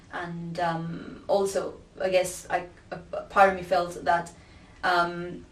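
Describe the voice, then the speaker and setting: A woman with a Spanish accent at a very slow pace, flat monotone intonation and big swings in loudness, amid audible room echo. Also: fairly low pitch for a woman. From Peru. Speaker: academic researcher. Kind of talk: interview testimony.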